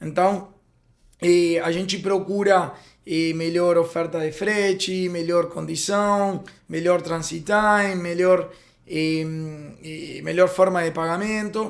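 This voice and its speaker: Very slowly and in a monotone, flat intonation, a man with a Spanish accent speaks at a high pitch. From Uruguay. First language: Spanish (speaking Portuguese). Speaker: freight forwarding company founder. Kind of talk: podcast interview. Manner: halting, many fillers.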